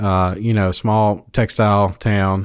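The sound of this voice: In a very clean recording with a silent background, a man speaks slowly with a clear, smooth tone, a fairly low pitch and little pitch movement.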